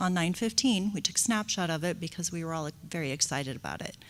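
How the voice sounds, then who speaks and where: A soft-spoken woman talks at a fairly quick pace in a fairly low pitch, with ordinary pitch variation. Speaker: school district director of early childhood education. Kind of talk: board meeting report. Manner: hesitant, many fillers.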